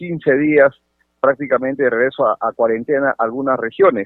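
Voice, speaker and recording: A man speaking at a moderate pace with ordinary pitch variation. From Sechura, Piura, northern Peru. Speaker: congressman. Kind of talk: radio interview. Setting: phone call. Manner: halting.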